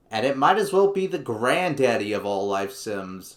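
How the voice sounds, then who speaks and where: A man talks in a normal speaking voice with lively intonation at a moderate pace. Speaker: gaming YouTuber. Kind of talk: scripted video essay narration. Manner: casual, jokey.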